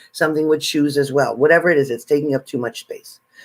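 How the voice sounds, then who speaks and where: A man at a very fast pace with fairly even intonation, on a very clean recording with a silent background. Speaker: psychic reader. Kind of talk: tarot reading.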